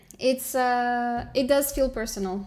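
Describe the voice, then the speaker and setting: A woman's high voice with a Romanian accent, very slow, with lively intonation. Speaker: digital artist streamer. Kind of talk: casual live stream chat. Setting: live stream. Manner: relaxed, hesitant with fillers.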